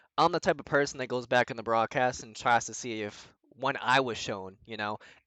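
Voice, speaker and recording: At a moderate pace, a man speaks at a medium pitch with a bright, sharp tone, ordinary pitch variation and big swings in loudness, in a dry, close sound with no echo and a quiet background. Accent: slight Boston. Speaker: sim racing driver. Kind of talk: casual chat.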